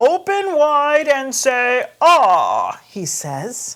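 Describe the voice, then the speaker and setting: Very slow, high-pitched put-on character voice from a woman. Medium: read story.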